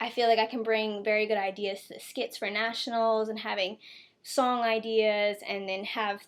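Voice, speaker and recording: Speaking in an unremarkable speaking voice at a moderate pace, a woman with an American accent has a fairly high pitch, on a very clean recording with a silent background. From US Mid-Atlantic (Delaware, Milford). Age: 20s. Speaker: college student, mascot applicant. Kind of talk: video interview answers. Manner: casual, with filler words.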